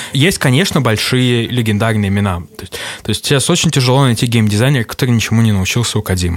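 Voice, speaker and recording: The speech comes very fast, with ordinary pitch variation. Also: man, medium pitch for a man. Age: 30s. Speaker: game designer. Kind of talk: casual interview.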